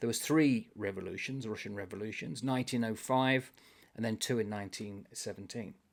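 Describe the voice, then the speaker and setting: In a very clean recording with a silent background, a man with a normal speaking voice talks at a fairly quick pace, with medium pitch and ordinary pitch variation. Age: 60s. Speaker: booktuber. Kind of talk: casual chat. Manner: rambling, self-correcting.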